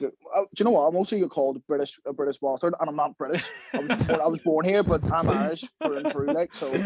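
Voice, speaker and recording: A man with a Belfast accent, fairly high pitch, ordinary pitch variation and a very fast pace, in a dry, close sound with no echo. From Belfast, Northern Ireland. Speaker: professional boxer. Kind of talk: podcast interview.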